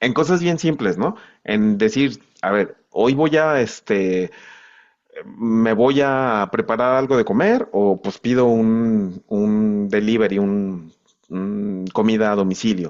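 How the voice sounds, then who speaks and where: Lively intonation runs through this man's speech. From Mexico, not central Mexico, later Monterrey. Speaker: accountant and filmmaker. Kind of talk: interview podcast conversation. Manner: halting, many fillers.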